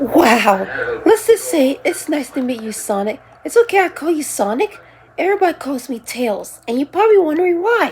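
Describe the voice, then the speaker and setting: This is a put-on character voice with a high pitch. It moves at a moderate pace with very wide pitch swings. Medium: solo performance. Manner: eager, friendly.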